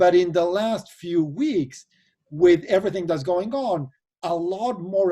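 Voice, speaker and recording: In an Argentine accent, this voice has a dark, mellow tone and a fairly slow pace, captured on a very clean recording with a silent background. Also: man. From Argentina. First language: Spanish. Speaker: venture capital investor and board member. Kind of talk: interview.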